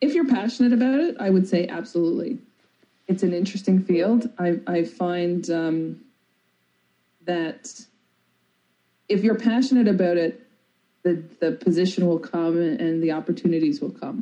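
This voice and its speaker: Speaking with a Newfoundland accent, a woman uses lively intonation in a dark, mellow, medium-pitched voice and leaves long, frequent pauses. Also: moderate pace. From Newfoundland, Canada (rural, near St. John's). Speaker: biotech research executive. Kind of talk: interview.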